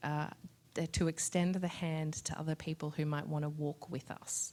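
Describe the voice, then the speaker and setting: With an Australian accent, a woman speaks at a very deep, low pitch with ordinary pitch variation. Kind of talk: panel discussion answer. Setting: live event with audience, recorded on Zoom.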